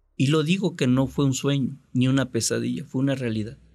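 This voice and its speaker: In a plain, everyday voice, the speaker talks at a moderate pace with ordinary pitch variation. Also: man. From Mexico, Córdoba, Veracruz. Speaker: journalist. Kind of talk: storytelling interview.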